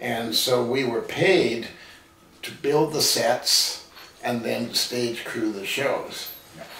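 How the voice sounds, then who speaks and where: A man with a Canadian accent at a very slow pace, with big swings in loudness, audible room echo and light background noise. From Vancouver, Canada; British Columbia, Canada. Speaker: television producer; interview guest. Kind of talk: casual interview conversation. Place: home room.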